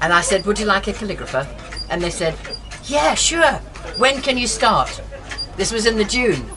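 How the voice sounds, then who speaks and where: The speaker has an English accent, a moderate pace, very wide pitch swings and long, frequent pauses. Noticeable background noise and audible room echo are present. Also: woman, medium pitch for a woman. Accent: English-sounding. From Scotland, Aberdeen. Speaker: calligrapher and living-history reenactor. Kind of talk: casual interview talk. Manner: animated.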